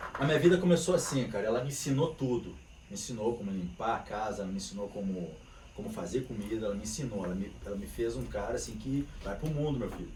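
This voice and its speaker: A man with a dark, mellow tone and vocal fry speaks at a very fast pace, with lively intonation at a medium pitch. Audible room echo surrounds his voice. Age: 50s. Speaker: capoeira teacher. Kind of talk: casual chat. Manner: animated.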